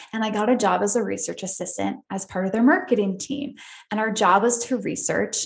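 Speaking in an American accent, a woman uses a fairly high pitch with vocal fry. Her pace is moderate and her pitch varies in an ordinary way. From upstate New York. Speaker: podcast host, psychotherapist. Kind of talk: personal story monologue.

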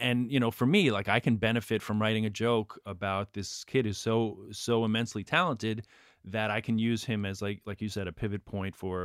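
In a New York accent, a man with a fairly low pitch talks at a moderate pace with hardly any pauses and ordinary pitch variation. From New York, Queens. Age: 40s. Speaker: stand-up comedian. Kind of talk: casual interview; stand-up.

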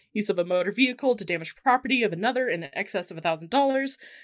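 A woman with an American accent has an unremarkable speaking voice. Her pitch is fairly high and her intonation lively. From US. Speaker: podcast co-host. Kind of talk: casual chat.

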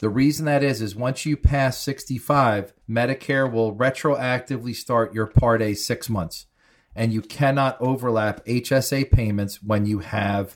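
A man talks at a fairly slow pace with a medium pitch and ordinary pitch variation, in an unremarkable speaking voice. The recording is very clean, the background silent. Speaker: Medicare insurance expert. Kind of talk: informative interview, explaining.

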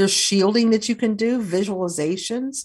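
A woman with an American accent speaks at a moderate pace in a plain, everyday voice, her pitch medium for a woman. The recording is very clean, with a silent background. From US South, Kentucky. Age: 60s. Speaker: author and folk magic practitioner. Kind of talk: interview.

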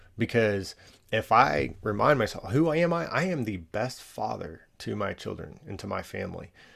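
In a very clean recording with a silent background, a man talks with an American accent at a moderate pace. His medium-pitched voice shows vocal fry and very wide pitch swings. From Texas, Allen. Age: 30s. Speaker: nonprofit founder, father. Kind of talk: interview conversation.

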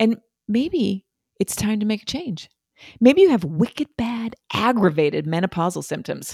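On a very clean recording with a silent background, a woman with a fairly high pitch and a dark, mellow, somewhat breathy tone speaks at a moderate pace with very wide pitch swings. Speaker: podcast co-host. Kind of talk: ad read.

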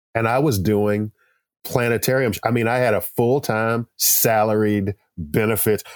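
A normal speaking voice with an American accent, at a moderate pace, with fairly even intonation and a dry, close sound with no echo. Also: man, medium pitch for a man. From Texas. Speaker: artist and poster illustrator. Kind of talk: interview.

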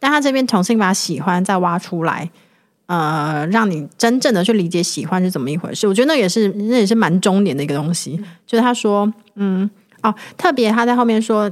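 In an ordinary speaking voice, a woman talks at a medium pitch and a fairly quick pace with lively intonation, on a very clean recording with a silent background. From Taiwan, Hualien. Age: 30s. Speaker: guest co-host, writer. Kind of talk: casual chat.

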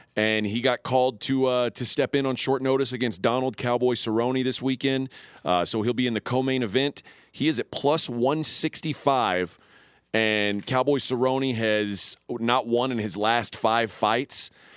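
An unremarkable speaking voice from a man at medium pitch, with fairly even intonation and a moderate pace, in a very clean recording with a silent background and a dry, close sound with no echo. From Texas (Houston). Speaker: sports betting radio host. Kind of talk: casual chat.

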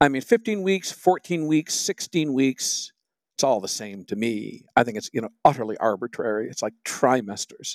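A man with an American accent at medium pitch and moderate pace, with very wide pitch swings, big shifts in loudness, and a very clean recording over a silent background. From Michigan, US. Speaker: magazine editor and music critic. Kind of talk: casual conversational interview. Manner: wry, humorous, self-deprecating.

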